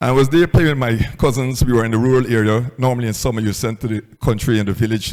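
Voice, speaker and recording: Speaking at a very fast pace, a man with a medium pitch and a dark, mellow tone keeps a fairly even intonation. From Guyana. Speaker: entrepreneur. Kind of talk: motivational talk.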